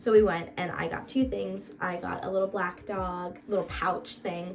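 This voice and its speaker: A woman with an American accent talks in an animated tone at a fairly low pitch with ordinary pitch variation, amid noticeable background noise and audible room echo. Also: moderate pace. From Florida, US. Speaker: vlogger. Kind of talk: casual vlog chat. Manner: animated, chatty.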